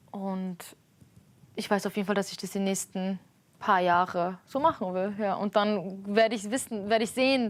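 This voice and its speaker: A woman with an Armenian accent speaks at medium pitch and a moderate pace with fairly even intonation, taking long, frequent pauses, in a very clean recording with a silent background. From Germany. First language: Armenian (speaking German). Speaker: street musician. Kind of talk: interview. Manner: casual, hesitant with fillers.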